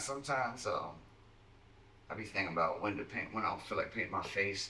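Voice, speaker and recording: A man with a Virginia accent at a very fast pace, with ordinary pitch variation and noticeable background noise. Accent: Southern US (Virginia). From Southside Virginia, Keysville. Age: 30s. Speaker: underground rapper. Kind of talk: casual chat. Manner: animated.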